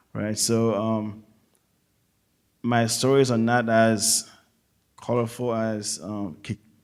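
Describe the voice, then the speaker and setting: A man with a Haitian accent at a medium pitch, very slow and monotone, with long, frequent pauses. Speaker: navy chief petty officer. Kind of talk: audience comment at a public forum. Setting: auditorium with audience. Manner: halting.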